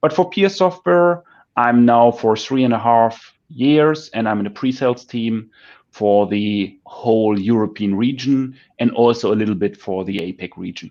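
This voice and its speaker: A man of medium pitch speaks with a German accent and lively intonation. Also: moderate pace, quiet background. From northern Germany near Dutch border. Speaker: pre-sales engineer. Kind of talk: casual interview on video call. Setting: video call from home working room.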